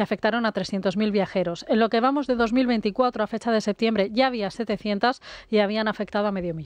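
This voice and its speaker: A woman speaks at a moderate pace in a normal speaking voice, with ordinary pitch variation. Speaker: radio reporter. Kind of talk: news report. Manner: formal.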